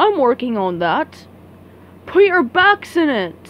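A woman puts on a high-pitched character voice with big pitch swings. She speaks at a slow pace.

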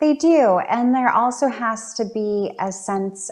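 Over a quiet background, a woman's pitch shifts in an ordinary way as she talks. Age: 30s. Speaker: talk show host and community center coordinator; talk show host. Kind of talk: interview. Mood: warm, attentive. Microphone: video call.

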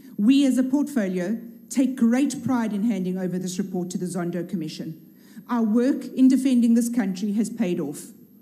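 Over a quiet background, a woman speaks at a moderate pace with a fairly high, somewhat breathy voice and ordinary pitch variation. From South Africa. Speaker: politician, member of parliament. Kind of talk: parliamentary speech. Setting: parliament chamber. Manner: formal. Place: hall. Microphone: podium.

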